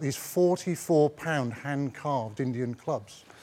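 A man speaks with lively intonation. Noticeable background noise sits behind him. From West Country, England. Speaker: former rugby player. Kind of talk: casual chat.

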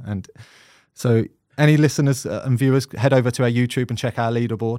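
In a South London accent, a man speaks at a fairly quick pace and medium pitch with a dark, mellow tone, on a very clean recording with a silent background. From South London, England. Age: 30s. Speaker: podcast host, goalkeeper. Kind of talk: casual chat.

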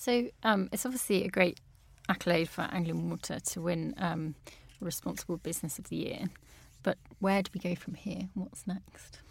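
A woman's medium-pitched voice at a moderate pace, ordinary pitch variation and vocal fry. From Peterborough, eastern England. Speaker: water resources manager. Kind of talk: podcast interview. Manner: hesitant, many fillers.

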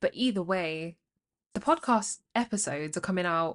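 Someone with a London accent speaks at a moderate pace with ordinary pitch variation against a quiet background. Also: woman. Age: 20s. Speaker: podcaster. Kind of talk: casual monologue. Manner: halting.

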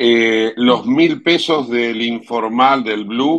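A man at a medium pitch speaks at a very slow pace. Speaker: radio host. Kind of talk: radio news talk.

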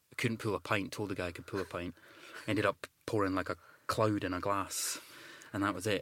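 Someone with a Scottish accent speaks at a fairly quick pace in a monotone, flat intonation. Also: man. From Scotland. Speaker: actor. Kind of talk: casual interview chat.

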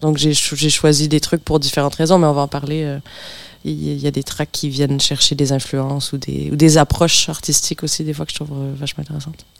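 At a fairly quick pace, a woman talks in a very deep, low voice with monotone, flat intonation. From Montreal, Quebec, with time in France. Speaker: pianist and composer. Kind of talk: casual radio interview.

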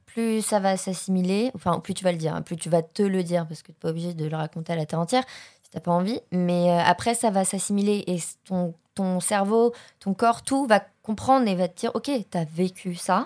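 On a very clean recording with a silent background, a woman with a plain, everyday voice speaks at a medium pitch and a fairly quick pace, with ordinary pitch variation and big swings in loudness. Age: 20s. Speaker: acting student. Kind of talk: testimony.

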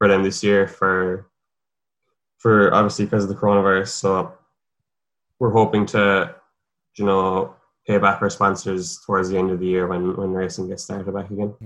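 At a moderate pace, a man with a Cork accent speaks in a fairly low, monotone, flat voice, taking long, frequent pauses over a quiet background. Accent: Cork Irish. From Ireland, north Cork. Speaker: professional cyclist. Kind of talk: interview.

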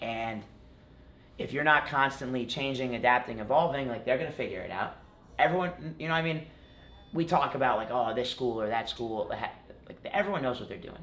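This is a normal speaking voice from a man with an American accent. His intonation is lively and his pace moderate. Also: medium pitch for a man. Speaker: college wrestling champion. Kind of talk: casual interview chat.

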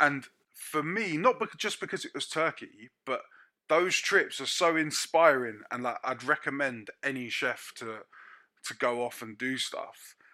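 Recorded very cleanly against a silent background, a man with a London accent speaks at a fairly slow pace in a fairly high, bright, sharp voice, with lively intonation and big swings in loudness. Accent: London English (Multicultural London). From North London. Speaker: chef. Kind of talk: casual chat. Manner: animated.

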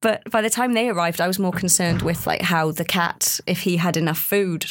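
A woman's fairly low pitch with vocal fry and ordinary pitch variation. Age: 30s. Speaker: research participant, mother with postnatal depression. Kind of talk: casual chat.

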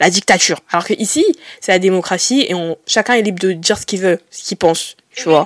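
A woman speaks at a moderate pace with lively intonation, recorded very cleanly against a silent background in a dry, close sound with no echo. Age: 20s. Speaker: podcast host. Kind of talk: casual chat.

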